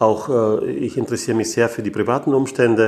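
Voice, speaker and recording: A man with medium pitch speaks in an ordinary speaking voice. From Austria, Graz. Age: 60s. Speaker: engineering firm owner. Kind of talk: interview. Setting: meeting room.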